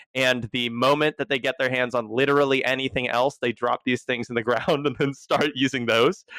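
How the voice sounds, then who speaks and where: A man talks at a fairly quick pace with hardly any pauses and fairly even intonation. The sound is dry and close, with no echo. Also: medium pitch for a man, very clean recording, silent background. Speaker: recurring guest correspondent. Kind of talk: casual chat. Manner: loud.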